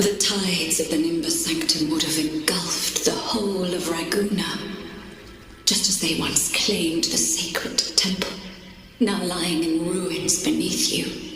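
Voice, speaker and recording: This female-sounding voice is a put-on character voice at medium pitch for a woman, delivered at a fairly slow pace. Strong echo and clear background noise fill the recording. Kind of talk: lofty archaic fantasy speech. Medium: game stream. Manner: solemn, formal.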